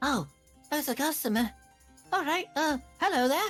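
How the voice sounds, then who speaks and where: Over faint music in the background, a high-pitched, put-on character voice talks at a moderate pace. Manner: welcoming, greeting a customer.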